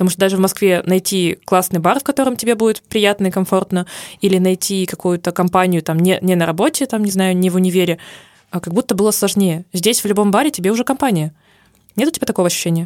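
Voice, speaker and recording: A woman talks at a very fast pace in an animated tone, with medium pitch and ordinary pitch variation. The recording is very clean, with a silent background and a dry, close sound with no echo. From Urals, Russia. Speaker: podcast co-host, advertising creative. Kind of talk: casual chat.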